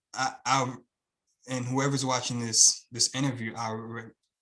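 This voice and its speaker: A man with a Haitian accent talks at a medium pitch. His intonation stays flat and monotone. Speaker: YouTube channel creator, student of the program. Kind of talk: interview. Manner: fast pace.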